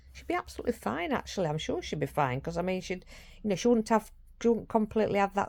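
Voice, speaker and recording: In a Yorkshire accent, a woman speaks with lively intonation on a very clean recording with a silent background. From Yorkshire, northern England. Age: 60s. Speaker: vlogger and carer for her mother. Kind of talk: casual vlog monologue. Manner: fast; halting, with frequent restarts.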